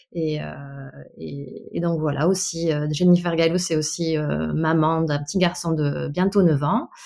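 Against noticeable background noise, a woman speaks very slowly at a very deep, low pitch in a monotone, flat intonation. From Bordeaux area, France. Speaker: dental assistant. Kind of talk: casual interview.

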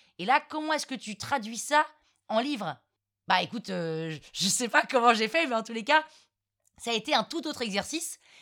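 The recording is very clean, with a silent background. A woman speaks fairly quickly at a high pitch. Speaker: podcaster and storyteller. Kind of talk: casual interview.

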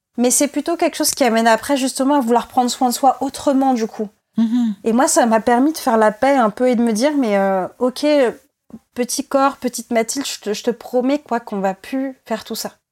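The delivery is moderate in pace with fairly even intonation and a dry, close sound without echo. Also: woman, high pitch for a woman. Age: 20s. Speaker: former client giving testimony. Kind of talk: testimony interview.

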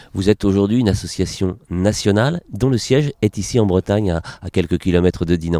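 A man at a fairly quick pace, fairly low in pitch with ordinary pitch variation, dark and mellow in tone, in a dry, close sound with no echo. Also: hardly any pauses. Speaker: podcast host, journalist. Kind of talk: interview.

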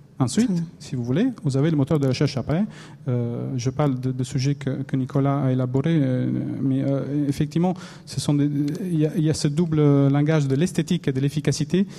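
A man speaks in a fairly high pitch with a dark, mellow tone that is somewhat breathy. His pace is moderate and his intonation fairly even. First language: Italian (speaking French). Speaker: newspaper infographics editor. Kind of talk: panel discussion. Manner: halting.

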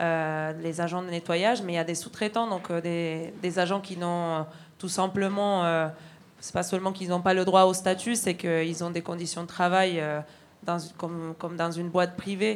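Her pitch fairly low, a woman talks with monotone, flat intonation. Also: moderate pace. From Argentina. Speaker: railway signal worker, union activist. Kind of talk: testimony at a public evening. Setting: stage with audience.

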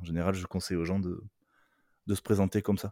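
Very deep in pitch, a man speaks with a dark, mellow tone, fairly even intonation and a fairly quick pace. The recording is very clean, with a silent background and a dry, close sound with no echo. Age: 30s. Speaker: content creator. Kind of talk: casual chat. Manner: halting.

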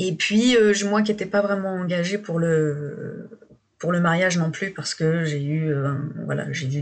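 A woman's speech, moderate in pace and with ordinary pitch variation, comes through noticeable background noise. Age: 30s. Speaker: guest sharing couple difficulties. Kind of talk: personal testimony. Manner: halting.

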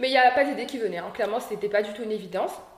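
The room echo is audible and background noise is noticeable. The intonation stays fairly even. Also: woman. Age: 20s. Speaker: young entrepreneur. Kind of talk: interview. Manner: hesitant, many fillers.

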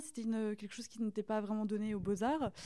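Her voice fairly high in pitch, a woman speaks with a dark, mellow tone. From France, rural Burgundy (Saône-et-Loire). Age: young. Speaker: artist. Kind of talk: casual interview chat. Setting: artist's studio. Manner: halting.

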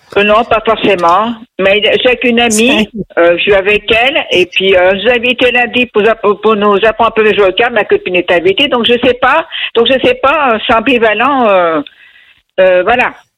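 A woman speaks fairly slowly in a fairly high voice with ordinary pitch variation. Her loudness stays very even. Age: 60s. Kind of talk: call-in conversation. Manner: hesitant.

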